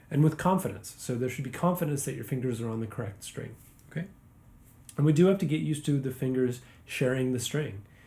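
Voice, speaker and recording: Somewhat breathy and dark, mellow in tone, a man talks at a fairly quick pace and medium pitch with ordinary pitch variation. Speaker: guitar teacher. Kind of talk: tutorial.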